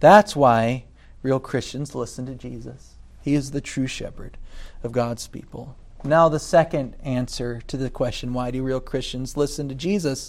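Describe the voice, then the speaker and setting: A man in an American accent uses a plain, everyday voice at a medium pitch, with ordinary pitch variation, a moderate pace and big swings in loudness. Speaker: pastor. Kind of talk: sermon.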